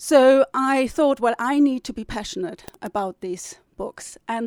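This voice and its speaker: A woman speaks with a German accent. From northern Germany. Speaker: novelist and publisher. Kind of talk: interview.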